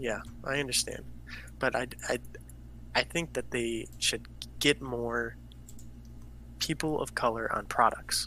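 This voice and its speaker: Taking long, frequent pauses, a man with an American accent speaks at a fairly slow pace. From US, Greek-American family. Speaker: podcast co-host. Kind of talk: casual chat. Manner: halting.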